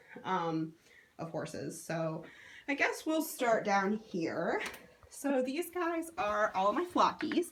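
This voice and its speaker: Somewhat breathy, a woman speaks at medium pitch with very wide pitch swings. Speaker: model horse collector. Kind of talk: collection tour video. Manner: casual, filler-heavy.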